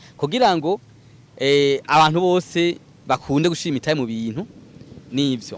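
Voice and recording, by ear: A man of fairly high pitch with lively intonation at a moderate pace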